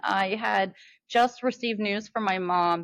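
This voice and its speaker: With an American accent, a woman speaks fairly slowly at a medium pitch and ordinary pitch variation. The recording is very clean, with a silent background. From Mingo Junction, Ohio. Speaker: podcast host. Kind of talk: casual chat. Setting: podcast. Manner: animated.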